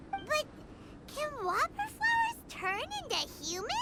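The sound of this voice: Over loud background noise, a squeaky, cartoonish character voice at an extremely high pitch goes along at a moderate pace.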